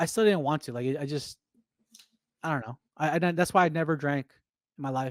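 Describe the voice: In a dry, close sound with no echo, a man talks fairly quickly at a fairly high pitch with ordinary pitch variation.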